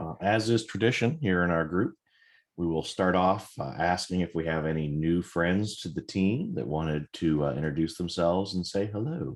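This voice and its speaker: A man with a very deep, low voice talks at a moderate speed, his pitch varying in an ordinary way against a quiet background. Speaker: meeting facilitator. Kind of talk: online work meeting. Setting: video call.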